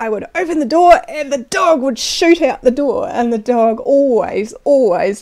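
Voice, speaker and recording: Against a quiet background, a woman with a New Zealand accent speaks with very wide pitch swings. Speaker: storyteller. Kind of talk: personal story narration. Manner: casual, conversational. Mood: amused, cheerful. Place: home room. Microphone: lapel.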